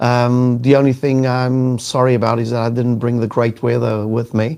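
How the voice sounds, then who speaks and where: A man with a South African accent speaks at a moderate pace with monotone, flat intonation. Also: medium pitch for a man. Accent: South African, noticeable. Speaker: sales executive and LinkedIn trainer. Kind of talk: casual live interview. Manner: hesitant, many fillers.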